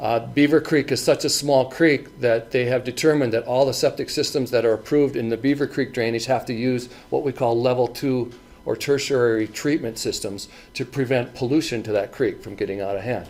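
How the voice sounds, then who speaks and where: The speaker moves at a fairly quick pace. The intonation stays fairly even. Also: man, medium pitch for a man. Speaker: county health department septic inspector. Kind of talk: presentation at a public forum. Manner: halting, many repetitions and fillers.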